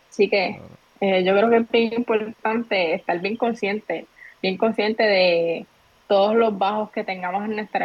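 This woman has a plain, everyday voice at medium pitch. Her intonation is fairly even and her pace moderate. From Puerto Rico, Trujillo Alto. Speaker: entrepreneur and content creator. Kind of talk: casual interview chat.

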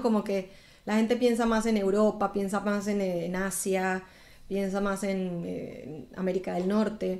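The speech goes along at a fairly slow pace. It is a plain, everyday voice. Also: woman. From Colombia (Bogotá, Medellín). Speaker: singer. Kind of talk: interview.

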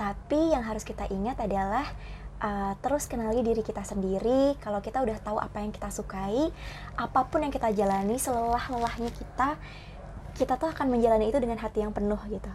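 This woman talks at a very fast pace with a fairly high pitch. Her pitch moves in an ordinary way. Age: young. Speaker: Indonesian language teacher. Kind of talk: interview.

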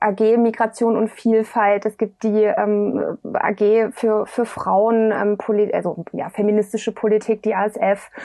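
The woman's voice is fairly high. She talks at a very slow pace. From eastern Germany, Dresden. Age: 20s. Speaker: politician. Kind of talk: interview.

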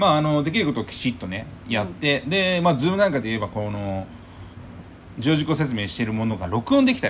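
A man with a medium pitch talks at a very fast pace. His pitch swings very widely. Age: 30s. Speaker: real estate podcast co-host. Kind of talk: casual chat.

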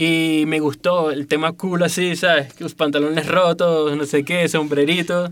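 A man in a Venezuelan accent, fairly high-pitched and monotone with flat intonation, with hardly any pauses. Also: fairly slow pace. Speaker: graphic designer and illustrator. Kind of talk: interview.

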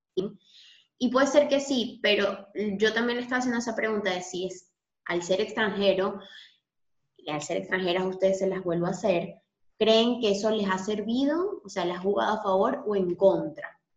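An ordinary speaking voice at a moderate pace. The pitch varies in an ordinary way. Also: woman, medium pitch for a woman. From Venezuela. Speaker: podcast host. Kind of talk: casual interview.

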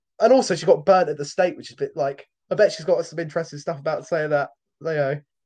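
Over a quiet background, a man with a British accent and a high pitch talks very fast, with ordinary pitch variation and big swings in loudness. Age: young. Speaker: podcast co-host. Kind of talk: casual chat. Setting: home recording.

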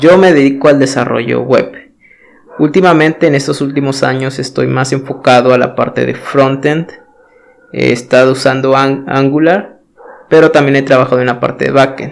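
Fairly even intonation from a man, noticeable background noise. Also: fairly high pitch for a man, moderate pace. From Mexico. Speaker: podcast host, web developer. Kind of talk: solo talk monologue. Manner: hesitant, many filler words.

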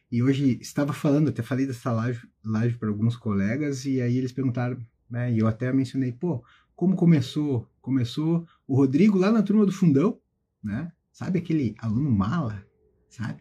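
Somewhat breathy and dark, mellow in tone, a man speaks at medium pitch and a moderate pace with lively intonation. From southern Brazil (Carazinho, Rio Grande do Sul). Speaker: federal prosecutor and exam-prep teacher. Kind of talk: motivational talk to students on a live stream. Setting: Instagram live stream.

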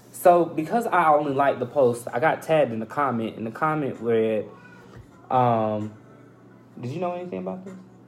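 The speech runs at a moderate pace with long, frequent pauses and noticeable background noise. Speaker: podcast co-host. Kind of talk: casual chat.

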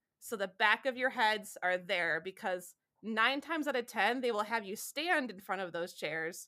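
A woman speaks with a Midwestern American accent in a bright, sharp tone at a fairly high pitch. Her intonation is lively, her pace moderate, and the recording is very clean with a silent background. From Southeast Michigan. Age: 30s. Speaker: wedding photographer. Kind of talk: casual interview.

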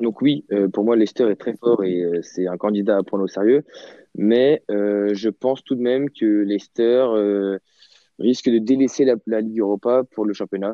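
A man's normal speaking voice, fairly low in pitch, at a moderate pace with fairly even intonation. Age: 20s. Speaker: football fan, podcast guest. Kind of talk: casual football debate.

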